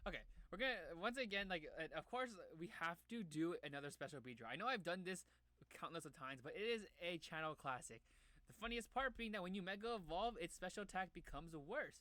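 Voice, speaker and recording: Bright, sharp and animated, a man's raised, projected voice races at a very fast pace with a high pitch and lively intonation. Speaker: gaming YouTuber. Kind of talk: casual gameplay commentary. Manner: animated, stammering.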